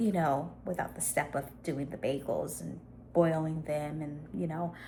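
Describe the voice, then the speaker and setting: Music plays in the background. The speech moves at a fairly slow pace. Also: woman. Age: 50s. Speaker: lifestyle vlogger. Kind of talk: casual vlog chat.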